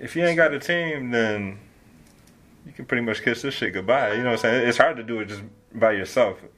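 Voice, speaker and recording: A man talks at a fairly quick pace in a plain, everyday voice. His pitch sits in the medium range. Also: ordinary pitch variation, big swings in loudness. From Detroit, Michigan. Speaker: rapper. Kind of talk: casual interview.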